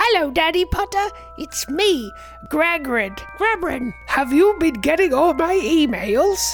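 Over clear music in the background, someone uses a put-on character voice at a fairly slow pace. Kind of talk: comic overacting. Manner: warm, indignant, bumbling.

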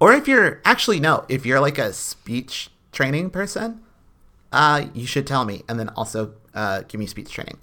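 On a very clean recording with a silent background, a man with a fairly high pitch and a bright, sharp tone speaks at a moderate pace, his pitch swinging very widely and his loudness shifting in big swings. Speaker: podcast co-host. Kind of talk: casual chat.

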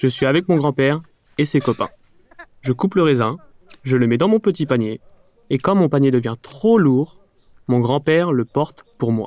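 Dry, close sound without any echo, and ordinary pitch variation. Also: man. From France, Loire Valley. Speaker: storyteller. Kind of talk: scripted narration. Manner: slow, clear.

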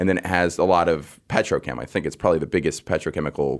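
On a very clean recording with a silent background, a man talks at a very fast pace with vocal fry. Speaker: comedian. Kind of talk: casual chat. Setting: studio. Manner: loud.

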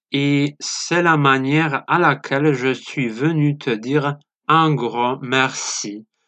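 A man with a Polish accent speaks at a very slow pace, his pitch varying in an ordinary way. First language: Polish (speaking French). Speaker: listener, French learner. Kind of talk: recorded voice message.

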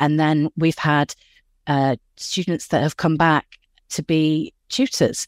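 A very slow delivery in an English accent, with long, frequent pauses, on a very clean recording with a silent background. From West Yorkshire, England. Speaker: nonprofit executive. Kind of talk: interview.

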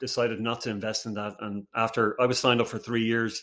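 A man with an Irish accent speaks fairly quickly at a medium pitch in a bright, sharp tone, in a very clean recording with a silent background. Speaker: company CEO. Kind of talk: casual interview.

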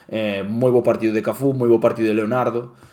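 The speaker is a man at medium pitch. His intonation stays fairly even. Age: 30s. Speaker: football pundit. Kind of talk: football history discussion.

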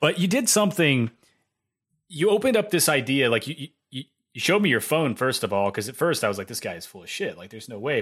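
Talking at a fairly quick pace, a man makes very wide pitch swings on a very clean recording with a silent background. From Tennessee. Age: 30s. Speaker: podcast host. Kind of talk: casual interview chat. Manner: animated.

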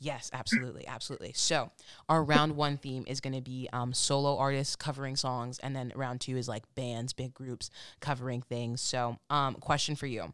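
A woman with an American accent speaks in a very deep, low pitch on a very clean recording with a silent background. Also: moderate pace. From Michigan. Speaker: podcast co-host. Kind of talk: casual chat. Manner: animated.

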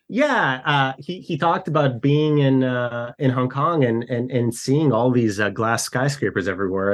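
Against a quiet background, a man of medium pitch speaks at a fairly slow pace with ordinary pitch variation. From immigrated to Canada as a child in 1992. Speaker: actor and filmmaker. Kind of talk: casual film discussion. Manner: halting, many fillers and repeats.

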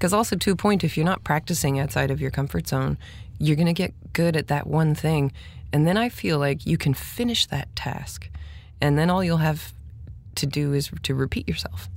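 Keeping her loudness very even, a woman speaks at a moderate pace. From Newfoundland, Canada (St. John's). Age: 30s. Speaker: singer-songwriter and mental health advocate. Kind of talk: interview.

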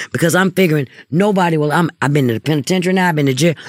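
With an American accent, a woman speaks in a fairly low pitch and an animated tone. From US South (Mississippi). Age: 60s. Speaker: anti-trafficking program director. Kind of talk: casual chat.

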